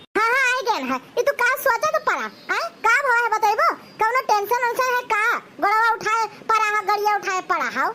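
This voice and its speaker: In a cartoonish character voice, a woman speaks at an extremely high pitch with lively intonation. Her pace is moderate, with light background noise. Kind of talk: village comedy cartoon. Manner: chatty, naive, earnest.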